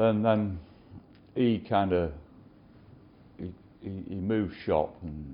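A man with a Lincolnshire accent and fairly even intonation. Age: 50s. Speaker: custom motorcycle builder. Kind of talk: interview. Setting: workshop.

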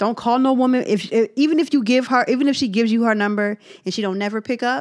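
In an animated tone, a woman talks very fast at a high pitch. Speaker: podcast co-host. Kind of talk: casual chat.

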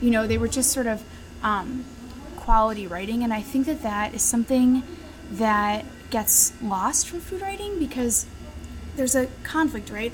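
A woman talks at a fairly quick pace and a fairly high pitch while noticeable background noise sits behind her. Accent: American. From Chicago area. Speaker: former restaurant critic. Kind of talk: interview over lunch. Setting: restaurant.

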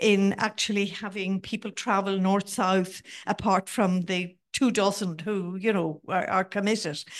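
A woman speaks at a fairly slow pace with an Irish accent. Her pitch sits in the medium range with ordinary variation, over a quiet background. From Ireland, border counties. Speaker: audience member, former city councillor. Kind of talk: audience question. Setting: event hall with audience.

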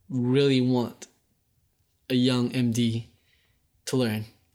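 A man's medium-pitched voice with a playful tone. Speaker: audio production host and monitor engineer. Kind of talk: casual podcast chat. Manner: playful, joking.

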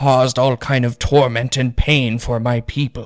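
A man speaks in a put-on character voice at medium pitch and a moderate pace, his intonation monotone and flat, with a dry, close sound and no echo. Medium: actual play. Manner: old-fashioned, courteous.

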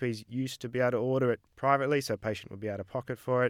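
In a very clean recording with a silent background and a dry, close sound with no echo, a man with an Australian accent talks at a very fast pace, medium pitch and fairly even intonation. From Australia, Melbourne. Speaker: GP and medical researcher. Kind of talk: interview.

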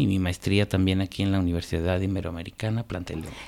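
A man is talking. His pace is very fast. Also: very clean recording, silent background. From Guanajuato, Mexico. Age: 40s. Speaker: lawyer and columnist. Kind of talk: radio interview. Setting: radio studio.

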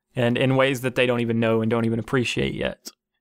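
At a moderate pace, a man with a medium pitch speaks in a monotone, flat intonation, the sound dry and close with no echo. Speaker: gaming podcaster and streamer. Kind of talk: solo podcast monologue. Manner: subdued tone in second half.

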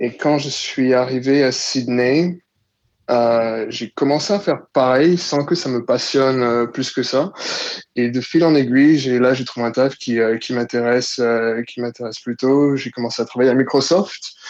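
A man talks in a normal speaking voice at a medium pitch. His pace is fairly slow, and his pitch variation is ordinary. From Ivory Coast. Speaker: listener guest. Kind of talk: casual chat.

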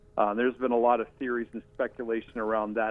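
A medium-pitched man with an American accent, music in the background. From Washington, D.C. area. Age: 50s. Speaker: historical researcher. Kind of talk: interview.

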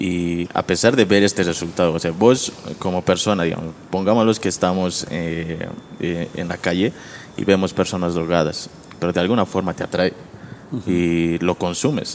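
A man's very deep, low voice, fairly slow and fairly even, with noticeable background noise. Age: 20s. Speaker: graphic designer. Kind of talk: casual chat.

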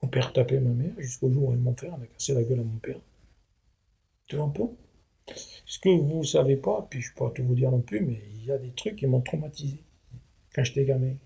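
A man with a medium pitch speaks in a dark, mellow tone, somewhat breathy. His pace is fairly quick, yet he takes long, frequent pauses. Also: ordinary pitch variation. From southwest France. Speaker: retired manual worker. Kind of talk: interview, life story. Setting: at home.

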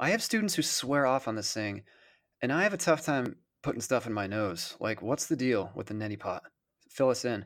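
Delivered at a fairly quick pace with lively intonation, a normal speaking voice comes through on a very clean recording with a silent background. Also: man, medium pitch for a man. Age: 30s. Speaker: voice teacher and actor. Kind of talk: educational podcast chat.

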